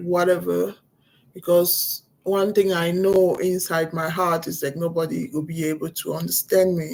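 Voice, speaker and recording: With a non-native accent, the speaker talks at a fairly slow pace in a monotone, flat way. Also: woman. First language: not English. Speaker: vlogger. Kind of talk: personal vlog. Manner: halting.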